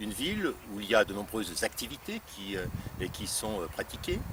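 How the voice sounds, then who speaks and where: There is noticeable background noise. A man speaks at a moderate pace in a medium pitch. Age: 60s. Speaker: local politician, deputy mayor candidate. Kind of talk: campaign presentation. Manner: halting, many hesitations and repetitions.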